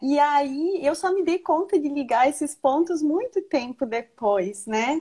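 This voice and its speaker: With a Rio Grande do Sul accent, a woman speaks at a fairly slow pace, her high pitch carrying lively intonation. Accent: southern Brazilian (gaúcho), noticeable. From Rio Grande do Sul, Brazil (Marau). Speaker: nonprofit manager. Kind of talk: casual interview. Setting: live stream video call.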